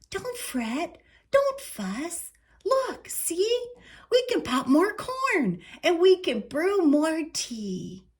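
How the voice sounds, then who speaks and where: Very slowly, a woman puts on a squeaky character voice at an extremely high pitch with very wide pitch swings. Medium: read story.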